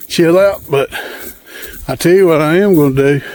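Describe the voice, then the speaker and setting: Over noticeable background noise, someone speaks with a strong Southern US accent. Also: man. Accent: strong Southern country. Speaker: hunting and outdoors vlogger. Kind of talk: casual vlog narration. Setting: outdoors, walking food plots. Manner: casual, folksy.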